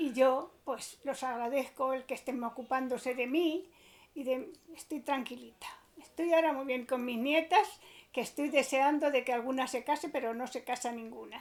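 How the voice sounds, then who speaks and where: A woman speaks at a high pitch with ordinary pitch variation. Her pace is moderate. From Spain, Aranjuez. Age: 80s. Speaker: elderly witness. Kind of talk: testimony.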